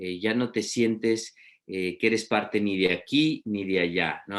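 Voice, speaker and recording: Moderate pace and fairly even intonation from a man with a fairly low pitch. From Peru. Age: 40s. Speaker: literature professor. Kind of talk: lecture. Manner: halting, many fillers.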